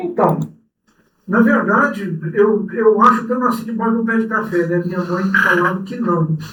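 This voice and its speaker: A man with a high pitch speaks in a raised, projected voice at a moderate pace. His pitch varies in an ordinary way, and the room echo is audible. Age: 60s. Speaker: cooperative president. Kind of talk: interview.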